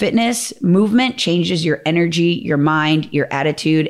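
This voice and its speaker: Someone with an American accent and an ordinary speaking voice talks at a moderate pace on a very clean recording with a silent background. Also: woman. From Minnesota, US Midwest. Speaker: fitness trainer and program founder. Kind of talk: casual interview chat.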